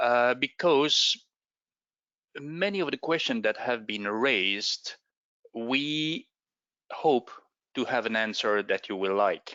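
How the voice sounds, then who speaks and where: Very slow speech from a man in a non-native accent, medium in pitch, with lively intonation and long, frequent pauses. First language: not English. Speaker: space agency expert. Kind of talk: presentation. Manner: halting.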